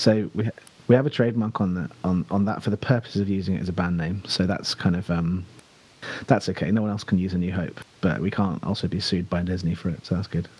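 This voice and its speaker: In a southern English accent, a man with a very deep, low pitch talks at a very fast pace with ordinary pitch variation. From southern England (Buckinghamshire). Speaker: rock band singer. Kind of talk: casual chat.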